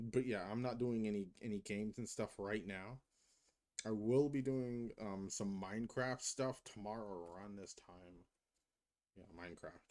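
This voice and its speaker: In an unremarkable speaking voice, a man with an American accent talks at a moderate pace, his fairly low voice keeping a fairly even intonation while his loudness swings widely. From United States. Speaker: cosplayer and streamer. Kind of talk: casual livestream chat. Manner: rambling, filler-heavy.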